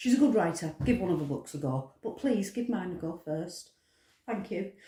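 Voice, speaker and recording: Speaking at a moderate pace, a woman with a British accent has a dark, mellow tone. She sounds somewhat breathy, and her pitch swings very widely. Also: medium pitch for a woman. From Britain. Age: 60s. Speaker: author. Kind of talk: casual vlog monologue. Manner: hesitant, frequent ums.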